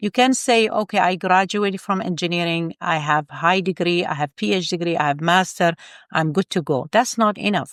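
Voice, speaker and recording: In a very clean recording with a silent background and a dry, close sound with no echo, a woman speaks at a fairly quick pace with a non-native accent, a fairly low pitch and ordinary pitch variation. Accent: foreign. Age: 50s. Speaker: engineer and life coach. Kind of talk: interview conversation. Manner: animated.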